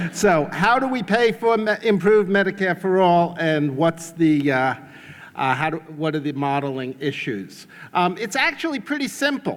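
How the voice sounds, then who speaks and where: Very wide pitch swings mark this moderately paced speech in a New York accent. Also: man, high pitch for a man. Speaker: economics professor. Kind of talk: conference talk.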